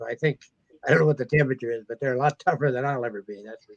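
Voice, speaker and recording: A man with an Upper Midwest accent speaks with ordinary pitch variation in a dry, close sound with no echo. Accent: Upper Midwest American. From Minnesota, US. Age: 80s+. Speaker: metal detecting author. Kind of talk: casual chat.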